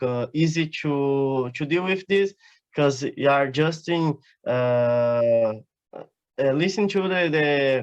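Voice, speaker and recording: Speaking at a very slow pace, a man with a Portuguese accent has a fairly high pitch and ordinary pitch variation. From southern Brazil, Paraná. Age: 20s. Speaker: exchange student. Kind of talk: interview. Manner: halting, many fillers.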